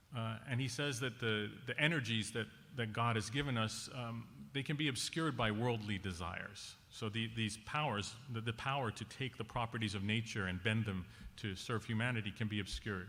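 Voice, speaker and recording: With audible room echo, a man speaks in a bright, sharp tone at medium pitch with ordinary pitch variation. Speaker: conference panelist. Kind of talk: conference talk. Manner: fast.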